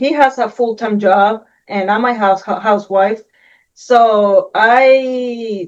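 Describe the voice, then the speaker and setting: In a Puerto Rican accent, a woman with a fairly high pitch talks at a very slow pace with fairly even intonation. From Puerto Rico. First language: Spanish. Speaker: Air Force veteran, housewife. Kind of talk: interview testimony.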